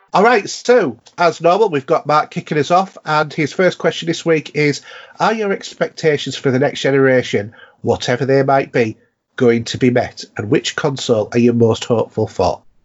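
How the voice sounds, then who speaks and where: A man's fairly high voice with a Yorkshire accent, at a moderate pace, with very wide pitch swings. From North Yorkshire, England. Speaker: podcast host. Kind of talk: casual chat.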